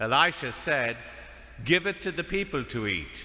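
At a fairly slow pace, a man speaks in a bright, sharp tone with vocal fry against a quiet background. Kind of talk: scripture reading. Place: church. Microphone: podium.

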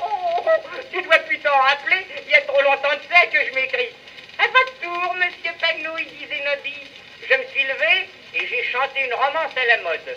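A man speaks in a raised, projected voice at a moderate pace, his pitch swinging very widely over light background noise. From France. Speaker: music hall comedian. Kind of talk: comic monologue. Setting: early acoustic phonograph cylinder recording. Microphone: old recording.

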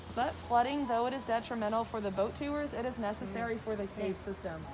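Over noticeable background noise, a woman talks at a very fast pace with ordinary pitch variation. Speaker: tour guide. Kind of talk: guided tour talk. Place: forest. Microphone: camera far.

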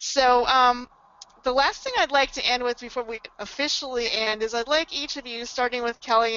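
At a moderate pace, a woman talks in an unremarkable speaking voice pitched fairly high. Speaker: membership director and webinar moderator. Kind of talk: webinar presentation. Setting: webinar broadcast.

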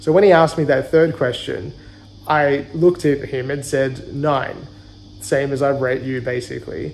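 A man at a moderate pace with ordinary pitch variation. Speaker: travel vlogger. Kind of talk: casual vlog chat. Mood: recounting an uncomfortable experience. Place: home room. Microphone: phone near.

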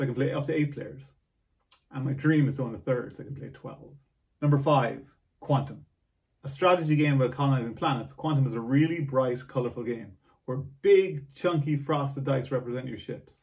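Against a quiet background, a man talks at a fairly quick pace in a fairly high, somewhat breathy voice with fairly even intonation. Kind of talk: board game top ten list to camera, read from teleprompter. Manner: nervous. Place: home room. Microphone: camera far.

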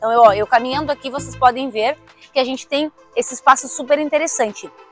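With faint music in the background and a dry sound with no echo, a woman speaks at a high pitch and a fairly quick pace with ordinary pitch variation. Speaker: presenter. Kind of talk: product tour presentation. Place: street. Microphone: lapel.

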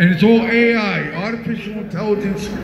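A man talks with a high pitch. Noticeable background noise sits behind him. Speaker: rally speaker and political candidate. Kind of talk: rally speech. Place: street. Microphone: pa.

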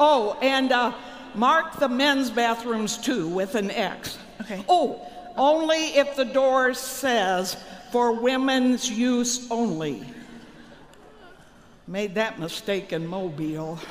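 Against light background noise, a woman with a high pitch speaks at a very slow pace with long, frequent pauses. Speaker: comic skit performer. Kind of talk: comedic stage skit dialogue. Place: hall. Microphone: handheld.

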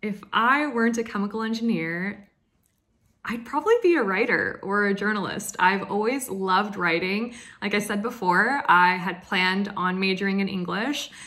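A woman with an American accent speaks at a moderate pace, her tone bright, sharp, upbeat and enthusiastic. Her pitch varies in an ordinary way, and the background is quiet. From US, Oregon. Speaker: chemical engineer. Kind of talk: Q&A monologue to camera. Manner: upbeat, enthusiastic. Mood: cheerful, smiling. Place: home room. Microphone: phone near.

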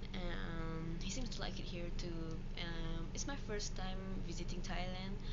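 A woman at a fairly slow pace, over loud background noise. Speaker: vlogger. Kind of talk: casual travel vlog. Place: home room. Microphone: phone near.

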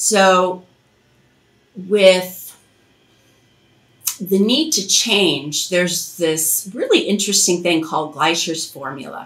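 A woman's slow, fairly low voice with a fairly bright tone, lively intonation, long and frequent pauses, and audible room echo

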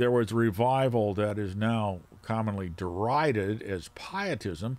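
A man speaks at a slow pace with a fairly low pitch. His tone is slightly mellow and his intonation lively.

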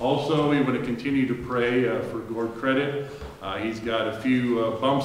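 Audible room echo surrounds a man's voice, along with light background noise. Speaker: pastor. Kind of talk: church announcements. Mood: warm, earnest. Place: church. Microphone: camera far.

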